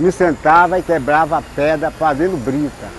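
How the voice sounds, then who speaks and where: Against noticeable background noise, a man talks fairly slowly with a fairly high pitch. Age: 80s+. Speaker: construction worker. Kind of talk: interview testimony. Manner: halting.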